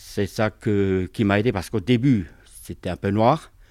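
A man with a normal speaking voice and fairly low pitch talks at a moderate pace and fairly even intonation on a very clean recording with a silent background. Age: 50s. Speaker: municipal worker. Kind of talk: testimony.

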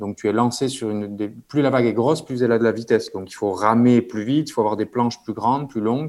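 The man's voice sits at a medium pitch, moving at a very fast pace with fairly even intonation. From French Basque Country (Bayonne). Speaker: dentist and big-wave surfer. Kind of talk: interview.

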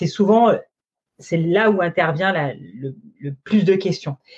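Her voice has a dark, mellow tone and is somewhat breathy, as this woman speaks with ordinary pitch variation. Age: 40s. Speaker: sales consultant. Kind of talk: interview. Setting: live stream.

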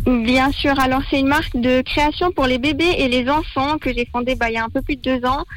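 A woman's high-pitched voice with fairly even intonation and very even loudness, music playing in the background. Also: moderate pace. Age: 20s. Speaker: small business founder. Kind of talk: radio interview.

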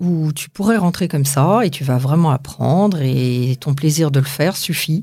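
On a very clean recording with a silent background, a woman speaks at a moderate pace in a dark, mellow, somewhat breathy tone with lively intonation. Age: 50s. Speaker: aspiring actress and justice mediator. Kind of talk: interview. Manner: hesitant.

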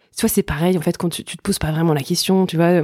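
In a very clean recording with a silent background, a woman speaks at a fairly low pitch with a dark, mellow tone and fairly even intonation. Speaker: journalist and novelist. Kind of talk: casual chat. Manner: halting.

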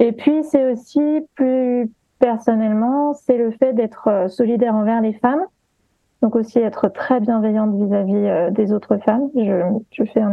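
With a plain, everyday voice, a woman speaks fairly slowly at a fairly high pitch with ordinary pitch variation. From partly Guadeloupe. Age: 30s. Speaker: sensitivity reader and gender stereotypes influencer. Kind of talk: interview.

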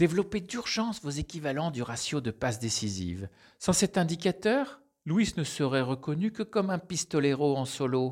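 The speaker moves at a moderate pace with very wide pitch swings, captured in a very clean recording with a silent background. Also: man, fairly high pitch for a man. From France. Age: middle-aged. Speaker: business team coach. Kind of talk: scripted narration.

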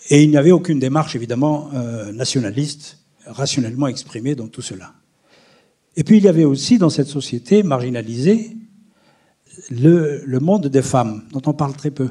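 A somewhat breathy man's voice, fairly high in pitch and dark, mellow in tone, broken by long, frequent pauses. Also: lively intonation, moderate pace, big swings in loudness. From Algeria, near Algiers. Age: 70s. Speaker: historian. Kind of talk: testimony. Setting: stage with audience.

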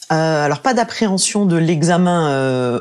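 Fairly low pitch from a woman, its rise and fall ordinary. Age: 40s. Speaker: breast cancer survivor. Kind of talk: interview testimony. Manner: hesitant, with fillers.

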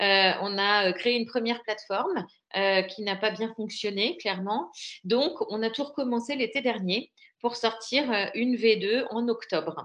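In an ordinary speaking voice, a woman talks at a fairly slow pace. Her pitch is fairly high with ordinary variation, and the background is quiet. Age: 40s. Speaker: entrepreneur, platform founder. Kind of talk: interview.

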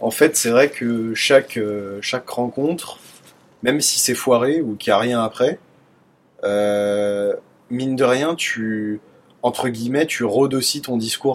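Very slowly, a man at a medium pitch talks with fairly even intonation. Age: 20s. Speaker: dating app user sharing experiences. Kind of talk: casual chat.

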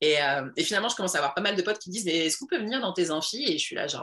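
The speaker talks at a very fast pace in an energetic tone with lively intonation, over noticeable background noise. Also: woman. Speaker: entrepreneur and women's coach. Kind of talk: casual interview.

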